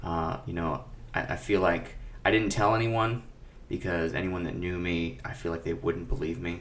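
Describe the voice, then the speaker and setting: A man with a very deep, low pitch is heard with audible room echo. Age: 20s. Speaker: music director and teacher, podcast guest. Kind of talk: personal testimony in a panel discussion. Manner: halting, with many fillers and repetitions.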